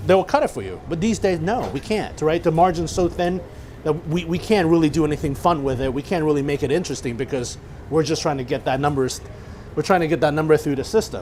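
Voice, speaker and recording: Over noticeable background noise, a man talks very fast at a fairly high pitch, with ordinary pitch variation. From Chinese background. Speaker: chef. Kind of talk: cooking demonstration talk.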